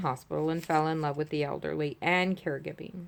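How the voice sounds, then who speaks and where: Here a woman talks at a fairly quick pace. Her pitch is very deep and low. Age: 60s. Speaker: retired caregiver sharing health story. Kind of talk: personal testimony. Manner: hesitant, many fillers.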